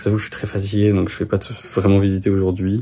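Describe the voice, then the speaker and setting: Speaking very fast, a man uses a fairly low, somewhat breathy voice with a dark, mellow tone. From France. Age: 20s. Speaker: vlogger. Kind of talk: vlog. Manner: hesitant, many fillers.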